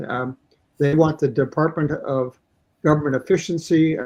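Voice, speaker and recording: Somewhat breathy, the voice has a dark, mellow tone with a Canadian accent. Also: man. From Canada. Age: 70s. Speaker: election candidate. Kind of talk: interview.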